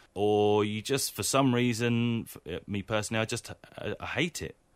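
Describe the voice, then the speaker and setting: A man speaks in an ordinary speaking voice at medium pitch and a moderate pace, in a very clean recording with a silent background. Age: 40s. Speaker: comedian turned volunteer gardener. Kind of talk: casual interview chat.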